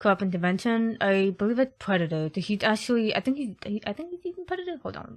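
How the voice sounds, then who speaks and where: A soft-spoken woman talks very fast and somewhat breathily. Her pitch swings very widely. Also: fairly high pitch for a woman, hardly any pauses, big swings in loudness. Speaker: gaming youtuber. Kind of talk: gameplay commentary.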